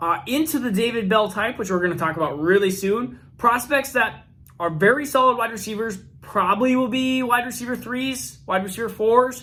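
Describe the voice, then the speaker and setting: A man's raised, projected voice, high in pitch with ordinary variation, at a fairly quick pace. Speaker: fantasy football youtuber. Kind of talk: youtube video commentary. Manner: fast.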